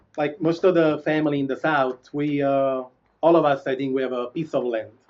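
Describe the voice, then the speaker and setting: Speaking at a fairly quick pace, a man with a strong Italian accent uses a fairly high pitch. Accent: strong Italian accent, sounds Neapolitan. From Italy, Molise near Campania. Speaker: pizza chef. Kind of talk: interview. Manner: halting.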